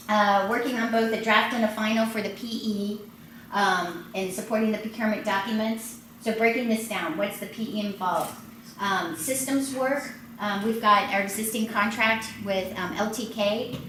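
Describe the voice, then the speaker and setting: Over noticeable background noise and audible room echo, the speaker talks at a moderate pace with fairly even intonation. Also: woman, fairly high pitch for a woman. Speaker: transit project manager presenting. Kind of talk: presentation at community meeting. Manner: many filler words.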